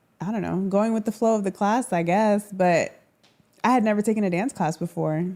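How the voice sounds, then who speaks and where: With a Florida accent, a woman talks at a moderate pace in a dark, mellow tone with ordinary pitch variation. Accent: American, Florida. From Orlando, Florida. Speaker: social media dancer. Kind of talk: casual chat. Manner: animated.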